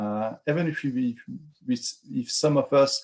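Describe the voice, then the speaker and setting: With a French accent, a man talks at a medium pitch with ordinary pitch variation. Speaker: finance working group lead presenting a proposal. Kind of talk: online community call presentation.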